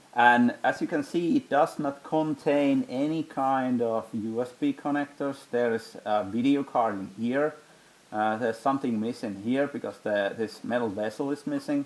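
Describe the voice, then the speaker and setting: A man with a Finnish accent, medium pitch and ordinary pitch variation. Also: moderate pace. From Finland. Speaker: tech hobbyist youtuber. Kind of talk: hands-on tutorial. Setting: home basement room. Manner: halting, with many fillers.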